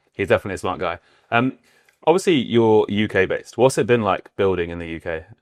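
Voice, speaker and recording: Speaking at a very fast pace, a man with a fairly low pitch makes big swings in loudness. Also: lively intonation, dry, close sound with no echo. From southwest England, Bath. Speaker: podcast host. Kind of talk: casual interview chat; scripted show intro.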